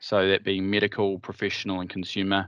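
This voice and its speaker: Very fast speech in a dry sound with no echo against a quiet background. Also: man. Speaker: partner manager at a headset company; vendor partner manager presenting. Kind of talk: product presentation. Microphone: video call.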